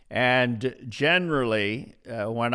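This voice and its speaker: Very slow speech in a bright, sharp tone keeps fairly even intonation on a very clean recording with a silent background. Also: man. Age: 70s. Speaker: pastor. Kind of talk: podcast interview. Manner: halting, many filler uhs.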